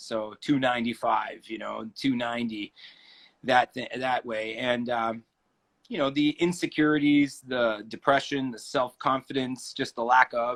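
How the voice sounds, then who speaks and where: Using a plain, everyday voice, a man speaks at a medium pitch and a fairly slow pace. His intonation is fairly even, and the sound is dry and close with no echo. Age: 40s. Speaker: keto coach and band front man. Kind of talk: interview.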